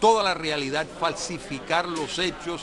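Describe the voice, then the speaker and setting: A man talks while crowd noise fills the background. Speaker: political scientist and guest. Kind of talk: TV interview answer.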